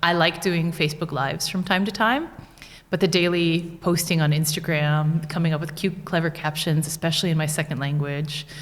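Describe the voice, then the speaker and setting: With an American accent, a woman talks at a fairly quick pace, her fairly low voice somewhat breathy. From United States. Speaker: small business owner. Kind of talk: podcast interview. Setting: studio.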